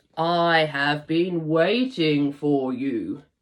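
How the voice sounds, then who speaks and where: Someone speaks in a put-on character voice at a middle pitch. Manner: solemn, wise.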